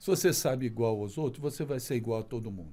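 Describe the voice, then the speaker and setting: This man's voice has a dark, mellow tone, and his intonation is lively. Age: 70s. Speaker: physical education professor and council president. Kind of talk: podcast interview.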